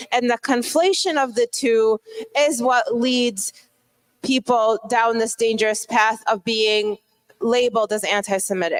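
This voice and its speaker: A woman with a plain, everyday voice speaks at a fairly slow pace, her pitch fairly high with ordinary pitch variation and very even loudness, in a dry, close sound with no echo. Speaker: conference speaker. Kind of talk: lecture.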